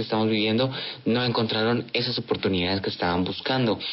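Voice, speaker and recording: Noticeable background noise sits behind a man's voice. He talks at a fairly quick pace with a medium pitch and ordinary pitch variation. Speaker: student radio host. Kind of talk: radio interview.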